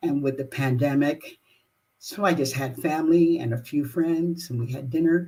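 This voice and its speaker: Her voice somewhat breathy and her tone dark and mellow, a woman with an American accent talks at a moderate pace, very deep and low in pitch with ordinary pitch variation. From Los Angeles, California. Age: 80s+. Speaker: jazz singer. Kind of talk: live-streamed personal talk. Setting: live online broadcast.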